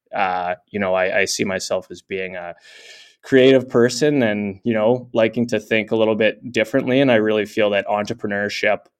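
An unremarkable speaking voice from a man with a Canadian accent, fairly low in pitch, at a moderate pace with fairly even intonation, against a quiet background. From Canada. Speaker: tech company founder and CEO. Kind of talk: interview.

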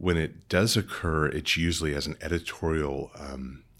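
Vocal fry colors this fairly slow delivery, spoken with an American accent. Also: man. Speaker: book editor and biblical scholar; audiobook narrator. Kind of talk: casual interview.

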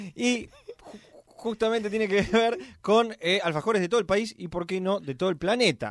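A man speaks at a high pitch and a moderate pace. His pitch varies in an ordinary way. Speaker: podcast host. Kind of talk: casual chat. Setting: studio.

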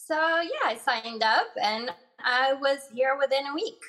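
A woman's speech moves at a fairly slow pace. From Morocco, raised in Boston from age 12. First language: Arabic. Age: 20s. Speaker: legal sex worker. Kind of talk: casual interview.

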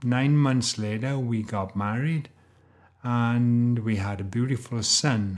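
This voice has a Welsh accent. The pace is very slow. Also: man. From Wales. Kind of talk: faith talk monologue with personal testimony. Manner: casual with fillers.

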